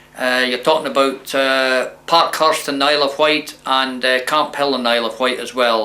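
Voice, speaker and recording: A man's fairly high voice in a southern Scottish accent, at a moderate pace with monotone, flat intonation. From Scotland, Dumfries. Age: 60s. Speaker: former prisoner sharing life story. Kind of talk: testimony.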